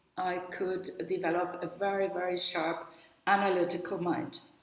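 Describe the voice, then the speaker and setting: Over noticeable background noise and audible room echo, a woman with a German accent talks at medium pitch and a fairly slow pace. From northern Germany, near the Danish border. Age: 70s. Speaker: spiritual workshop leader and psychologist. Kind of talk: webinar talk.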